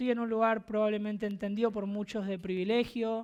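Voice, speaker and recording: A woman speaks at a fairly high pitch in a flat monotone. The recording is very clean, with a silent background. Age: 30s. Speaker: preacher. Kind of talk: sermon.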